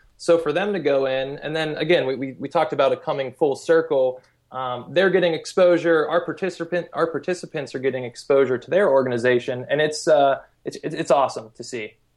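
A man talks at a fairly quick pace in an ordinary speaking voice, fairly high in pitch with ordinary variation. His loudness swings widely against a quiet background. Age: 30s. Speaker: volunteer travel company founder. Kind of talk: interview. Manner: casual, many fillers and repetitions.

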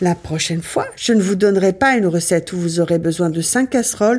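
A woman with a medium-pitched voice and ordinary pitch variation speaks against noticeable background noise. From Ardennes, north-east France. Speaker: cooking show host. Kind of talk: recipe tutorial. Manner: casual, chatty.

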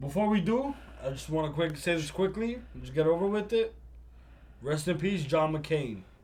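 Audible room echo surrounds a man with a New York accent and a fairly high pitch. He speaks at a moderate pace with lively intonation and long, frequent pauses. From Brooklyn, New York. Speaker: podcast co-host. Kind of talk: casual chat. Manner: loud.

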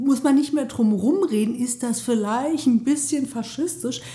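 Her tone dark and mellow, a woman speaks at a moderate pace in a somewhat breathy voice with lively intonation. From Germany, Mainz (Rhineland-Palatinate). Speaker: member of parliament. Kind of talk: interview. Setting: sitting across from interviewer in a venue.

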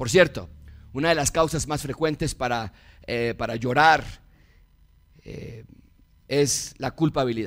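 A man with a Mexican accent at a fairly high pitch, fairly slow pace, long and frequent pauses, big swings in loudness and ordinary pitch variation. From Mexico. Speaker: pastor. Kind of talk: sermon.

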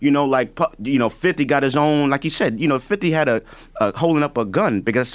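A man with a New York accent, fairly high pitch, lively intonation and a very fast pace, on a very clean recording with a silent background. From the Bronx, New York. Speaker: music producer. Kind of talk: panel discussion. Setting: studio.

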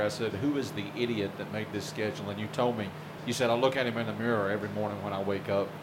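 A man's very fast speech with fairly even intonation, audible room echo and noticeable background noise. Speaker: newspaper publisher and sports podcast host. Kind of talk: podcast hosting and interview. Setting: locker room. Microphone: poor audio quality.

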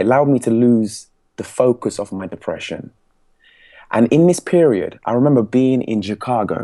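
In a dark, mellow tone, a man talks at a medium pitch with ordinary pitch variation. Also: moderate pace. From England. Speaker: public speaking coach. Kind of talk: interview. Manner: energetic.

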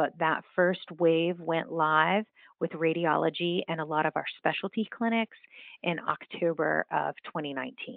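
With an American accent, a woman speaks in a normal speaking voice at a fairly low pitch with ordinary pitch variation. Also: fairly slow pace. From West Virginia. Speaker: healthcare revenue executive. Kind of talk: interview.

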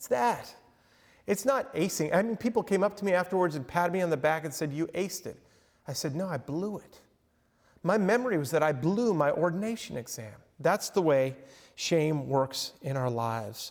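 Lively intonation at a moderate pace with an American accent, in a very clean recording against a silent background. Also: man, high pitch for a man. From Long Island, New York. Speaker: professor and counselor. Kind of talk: lecture. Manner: casual, halting with repetitions.

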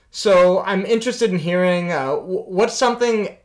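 A man with high pitch at a fairly slow pace. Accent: American. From United States. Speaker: podcast host. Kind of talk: interview; scripted narration.

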